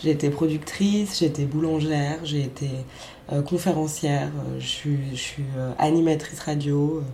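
Her voice sits very deep and low for a woman, with fairly even intonation, audible room echo and noticeable background noise. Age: 20s. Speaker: performance artist and radio maker. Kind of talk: casual interview. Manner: halting.

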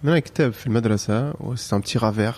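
At a medium pitch, a man speaks in a dark, mellow tone. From France. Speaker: calligraffiti artist. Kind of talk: casual interview.

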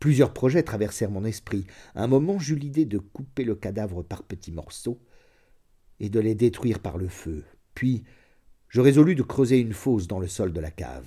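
A man with a medium-pitched, dark and mellow voice speaks in a somewhat breathy, solemn tone, his pitch swinging very widely, on a very clean recording with a silent background. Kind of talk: audiobook reading of a literary short story, first-person confessional narration. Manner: measured, solemn, slow literary delivery with dark, tense gravity.

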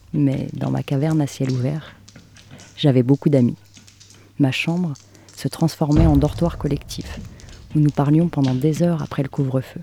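Speech comes at a fairly slow pace with long, frequent pauses. Noticeable background noise is present. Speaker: podcast host, narrator. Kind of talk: literary narration, reflective scripted monologue. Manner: soft, intimate, measured.

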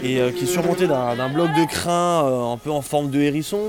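A man with a fairly high voice and normal pitch movement talks while background noise is clearly audible. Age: 30s. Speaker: fly farmer. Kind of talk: casual interview.

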